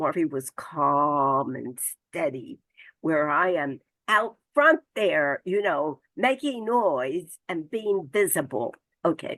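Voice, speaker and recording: A woman's very deep, low voice with lively intonation at a very slow pace, in a dry, close sound with no echo. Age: 90s. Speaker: civil rights activist. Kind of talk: award acceptance speech.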